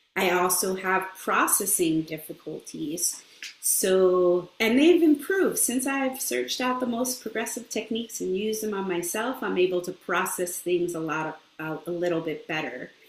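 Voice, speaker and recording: Noticeable background noise accompanies a woman of medium pitch who talks at a moderate pace with lively intonation. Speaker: speech therapist. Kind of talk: interview. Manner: halting.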